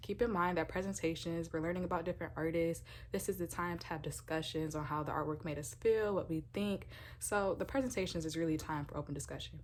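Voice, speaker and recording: Vocal fry runs through a woman's very fast speech, which has ordinary pitch variation. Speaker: university art student. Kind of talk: casual talk to camera, podcast-style episode.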